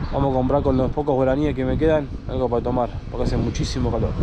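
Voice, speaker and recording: Over noticeable background noise, a man with a Cordoban Argentine accent talks very fast in a monotone, flat delivery. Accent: Argentine Spanish, Córdoba. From Argentina, interior of Córdoba. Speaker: motorcycle travel vlogger. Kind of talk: casual travel vlog narration. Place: street. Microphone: phone near.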